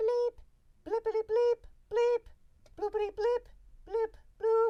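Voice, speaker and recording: Squeaky and extremely high, this put-on character voice has a playful tone, a monotone, flat intonation and a fairly slow pace. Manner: comic, playful beeping.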